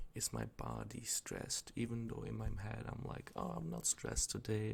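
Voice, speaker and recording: The voice belongs to a man. He is soft-spoken. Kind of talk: ASMR rambling, casual talk to camera. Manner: soft-spoken, rambly, groggy.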